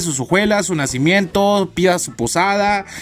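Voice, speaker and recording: A man speaking at a moderate pace, with music in the background. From Chiapas, Mexico. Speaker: podcast host, university student. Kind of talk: casual solo podcast monologue.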